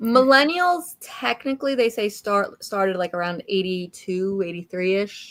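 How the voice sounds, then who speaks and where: Her delivery is a normal speaking voice, with a medium pitch, lively intonation, a moderate pace and hardly any pauses. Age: 40s. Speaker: book discussion livestream co-host. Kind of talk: casual chat.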